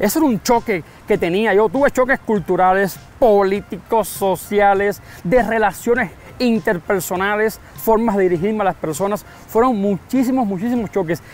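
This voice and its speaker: A man speaks at a high pitch with a Cuban accent. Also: ordinary pitch variation. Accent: marked Cuban accent, slowed in Mexico. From Cuba, San Antonio de los Baños area. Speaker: Cuban immigrant interviewee. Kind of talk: interview. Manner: speaks slower than typical Cuban speech.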